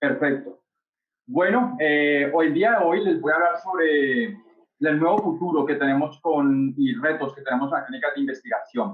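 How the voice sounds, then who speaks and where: A man talks at a moderate pace with a slight Colombian accent. His pitch is fairly high. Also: lively intonation, very even loudness. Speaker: startup founder, industrial engineer. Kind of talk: webinar presentation. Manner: hesitant, many fillers.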